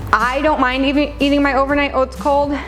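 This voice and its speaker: With music playing in the background, a woman's speech moves at a moderate pace. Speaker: registered dietitian and personal trainer. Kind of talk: casual talk to camera.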